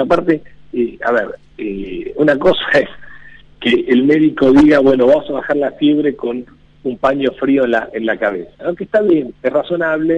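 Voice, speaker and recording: A man at a fairly high pitch, with ordinary pitch variation and a moderate pace. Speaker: economist. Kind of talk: casual radio interview. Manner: halting.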